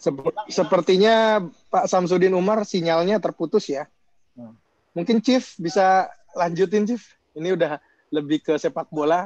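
Speaking at a moderate pace with long, frequent pauses, a man uses a high pitch and ordinary pitch variation, and the sound is dry with no echo. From Indonesia. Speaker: moderator. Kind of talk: moderating a webinar. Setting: video call. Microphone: video call.

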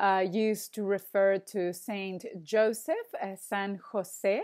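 A woman with a Spanish accent speaks at a very slow pace in a fairly high pitch. The background is quiet. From Argentina. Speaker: Spanish teacher. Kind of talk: online language lesson. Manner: hesitant, many fillers. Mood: friendly, relaxed. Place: home room. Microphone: earbuds.

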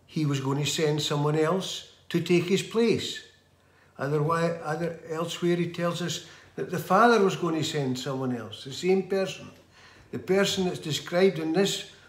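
Heard with audible room echo, a man talks at a moderate pace in a high pitch for a man, with ordinary pitch variation. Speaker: lay preacher. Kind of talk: sermon. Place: home room. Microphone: phone near.

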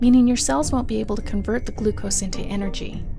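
A woman's lively speech at a fairly quick pace, with music in the background. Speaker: voice-over narrator. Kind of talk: animated explainer narration.

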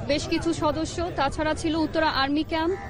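Crowd noise runs behind a woman speaking in a high voice. Her intonation is monotone and flat, and the sound is dry with no echo. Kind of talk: press briefing. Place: open country. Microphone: handheld.

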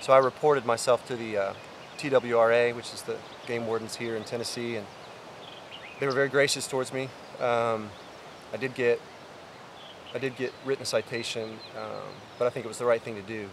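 A man talks in a monotone, flat intonation. The sound is dry with no echo, and background noise is noticeable. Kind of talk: casual vlog chat. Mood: humble, reflective. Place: open country.

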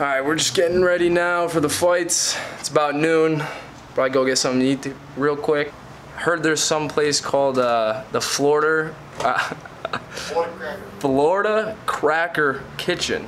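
A man talks at a fairly slow pace, his pitch varying in an ordinary way, while light noise sits in the background. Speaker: podcast host vlogging. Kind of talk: casual vlog chat. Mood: wry, sarcastic. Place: home room. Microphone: phone near.

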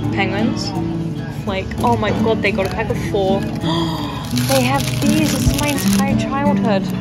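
Loud music fills the background as the speech moves at a fairly slow pace. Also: woman. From England. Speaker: vlogger. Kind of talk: casual vlog talk with friends. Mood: excited, nostalgic. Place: shop. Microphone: phone near.

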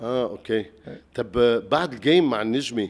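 Medium in pitch, a man speaks with a Lebanese accent. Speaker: talk show host. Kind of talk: interview. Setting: studio with audience.

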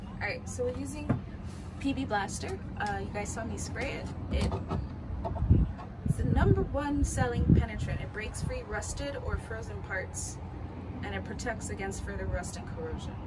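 A woman speaks at a moderate pace with long, frequent pauses. Loud background noise runs underneath. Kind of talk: casual vlog chat. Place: boat. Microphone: phone near.

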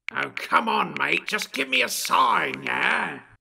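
A man performs a cartoonish character voice that sounds raspy. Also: fairly slow pace. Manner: petulant, sneering, then pleading.

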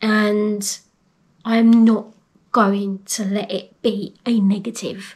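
A woman with a fairly high pitch speaks in a somewhat breathy voice with monotone, flat intonation. The background is quiet. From England. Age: 40s. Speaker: vlogger, airport security manager. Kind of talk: personal vlog, health story. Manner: hesitant, many ums. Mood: earnest, hopeful. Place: home room. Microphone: phone near.

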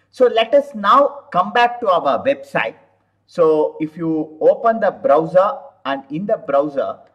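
A high-pitched man at a fairly slow pace, with very wide pitch swings over a quiet background. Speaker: software tutorial instructor. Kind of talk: tutorial. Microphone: webcam.

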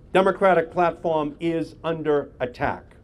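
A man's high voice, fairly slow, with ordinary pitch variation. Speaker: politician at a press conference. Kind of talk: speech. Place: street. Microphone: podium.

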